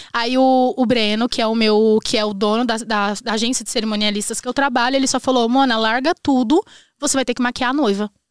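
Using an ordinary speaking voice, a woman talks at a fairly quick pace and fairly high pitch with fairly even intonation, the sound dry and close with no echo on a very clean recording with a silent background. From Brazil, northwestern Paraná. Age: 20s. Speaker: immigrant entrepreneur, makeup artist. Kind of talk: casual chat.

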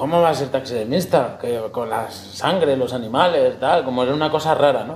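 Here is a plain, everyday voice of a man at medium pitch. His pace is moderate and his pitch variation ordinary. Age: 40s. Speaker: taxidermist and hunter. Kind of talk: casual interview.

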